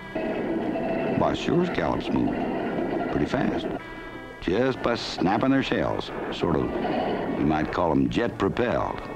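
Music plays behind a man talking at a very slow pace. He leaves long, frequent pauses. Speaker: film narrator in character as fisherman. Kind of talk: folksy documentary narration.

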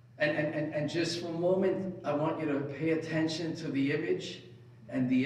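A man talks at a moderate pace in a fairly high pitch with ordinary pitch variation. Room echo is audible. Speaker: preacher. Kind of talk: sermon; fervent prayer. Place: church.

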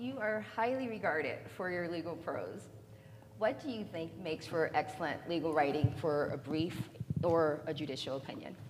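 A woman's fairly low voice at a moderate pace, lively in intonation, over noticeable background noise. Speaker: civil litigator; panel moderator asking question. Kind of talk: onstage interview. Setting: stage with audience. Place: hall.

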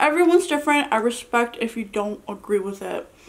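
At a moderate pace, a woman speaks with a high pitch and very wide pitch swings. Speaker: mukbang vlogger. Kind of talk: casual vlog chat. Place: home room.

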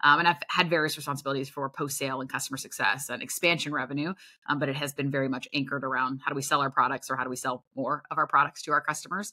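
A woman with an American accent talks at a very fast pace in a very deep, low pitch. Her tone is bright and sharp, and the background is quiet. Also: fairly even intonation, hardly any pauses. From US South, small-town Tennessee. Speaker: sales executive. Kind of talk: interview. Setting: video call. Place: home room.

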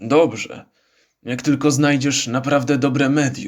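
Using a put-on character voice, a man speaks hoarsely at medium pitch. His delivery is monotone and flat at a moderate pace. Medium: read story. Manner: gruff, sarcastic.

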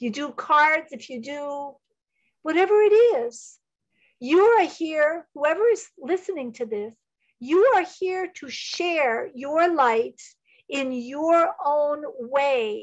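With a high pitch and very wide pitch swings, a woman speaks at a very slow pace, her loudness swinging widely over a quiet background. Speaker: psychic medium and Reiki teacher; Reiki teacher. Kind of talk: channeled spiritual talk. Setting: video call. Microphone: video call.

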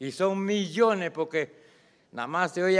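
Against a quiet background, a man speaks at a fairly slow pace in a high pitch, with ordinary pitch variation. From Panama, Colón province (Coclé del Norte, Donoso); Colón province, Panama. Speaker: farmer activist speaking at public hearing. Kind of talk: public hearing testimony. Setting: hearing room with audience and microphone. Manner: impassioned. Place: hall. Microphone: podium.

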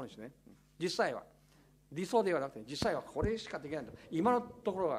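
Very wide pitch swings at a fairly quick pace. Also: man. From Taiwan. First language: Taiwanese/Chinese (speaking Japanese). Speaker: political commentator. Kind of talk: lecture Q&A. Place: meeting room. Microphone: podium.

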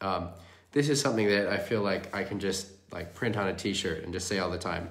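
A man with a very deep, low pitch and ordinary pitch variation, over a quiet background. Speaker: windsurfing coach. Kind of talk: live coaching commentary. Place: home room. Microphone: phone near.

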